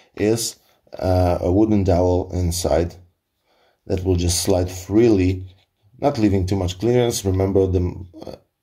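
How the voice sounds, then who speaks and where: A man speaks with a very deep, low pitch and a dark, mellow tone in a Polish accent. His voice is somewhat breathy, with a fairly slow pace and long, frequent pauses. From Poland. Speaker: firearms hobbyist. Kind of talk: tutorial. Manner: halting.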